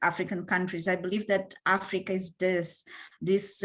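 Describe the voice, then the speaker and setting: At a fairly slow pace, a woman talks in a medium pitch with monotone, flat intonation. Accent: Portuguese. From Mozambique. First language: Portuguese. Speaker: panelist. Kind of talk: panel discussion. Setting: online video panel. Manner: halting, many fillers.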